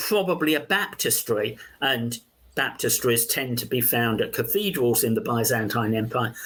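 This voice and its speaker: A man with a London accent speaks at a fairly slow pace. His intonation is lively. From London, England. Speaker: archaeology professor. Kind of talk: interview conversation. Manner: halting, many fillers.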